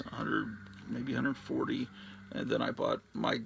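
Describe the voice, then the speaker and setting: Noticeable background noise runs through the clip. A man speaks at a moderate pace. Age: 50s. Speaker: comic book collector YouTuber. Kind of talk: casual unboxing monologue.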